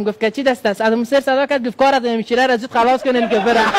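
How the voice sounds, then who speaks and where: Very fast pace from a man, noticeable background noise behind him. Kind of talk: telling funny anecdotes as a talk-show guest.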